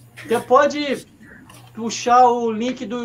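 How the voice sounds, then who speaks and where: Noticeable background noise sits under a man talking very slowly. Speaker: sports web show host. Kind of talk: casual live stream chat. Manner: halting, repeats words.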